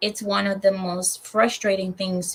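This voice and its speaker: Somewhat breathy, a woman talks at a moderate pace with a medium pitch. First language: not English. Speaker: livestream host. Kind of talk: casual live chat with viewers. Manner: careful enunciation.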